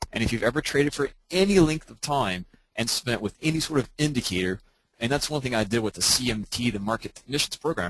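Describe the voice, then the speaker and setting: With an ordinary speaking voice, a man at a medium pitch talks at a fairly quick pace with lively intonation. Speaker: trading coach. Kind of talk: webinar lecture. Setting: online webinar.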